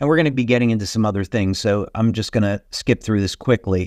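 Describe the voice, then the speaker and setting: A man with a medium pitch uses a normal speaking voice, and the sound is dry and close with no echo. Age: 60s. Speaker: company founder and health speaker. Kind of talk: webinar presentation. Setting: online webinar. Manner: casual, with many filler words.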